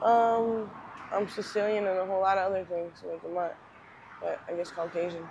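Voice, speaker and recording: The speaker has a Philadelphia accent. The intonation stays fairly even. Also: woman, medium pitch for a woman, moderate pace. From Northeast Philadelphia. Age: 30s. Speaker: homeless person with addiction. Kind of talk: interview. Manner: hesitant, many ums.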